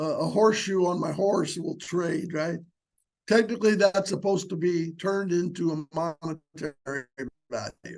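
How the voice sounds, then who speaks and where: Using fairly even intonation, a man with a high voice speaks at a fairly slow pace. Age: 70s. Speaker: small business consultant, workshop instructor. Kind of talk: webinar lecture. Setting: online webinar. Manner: casual, conversational with filler words.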